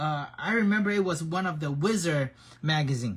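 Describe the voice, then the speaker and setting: A man speaks with a non-native accent. His intonation is lively. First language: not English. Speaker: action figure painter and hobby streamer. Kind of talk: live-streamed tutorial chat. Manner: casual, halting with frequent repetitions.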